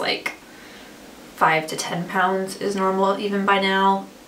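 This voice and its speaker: A medium-pitched woman against noticeable background noise. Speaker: vlogger. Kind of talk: casual vlog monologue. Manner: filler-heavy, chatty.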